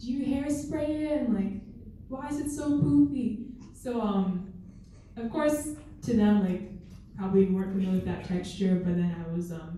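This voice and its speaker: A woman with an American accent, medium in pitch, at a moderate pace with very wide pitch swings, against noticeable background noise and audible room echo. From North Dakota, US. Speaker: student panelist. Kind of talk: panel discussion.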